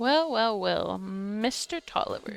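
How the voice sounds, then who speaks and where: Drawling at a fairly slow pace, a female-sounding voice puts on a character voice with a fairly high pitch. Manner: long drawl, gloating.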